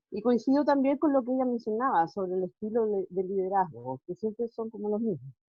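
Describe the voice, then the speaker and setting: A woman with a Chilean accent and a fairly high pitch speaks at a fairly quick pace, using lively intonation and hardly any pauses. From Chile, Puerto Montt. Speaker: schoolteacher asking a question. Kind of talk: audience question.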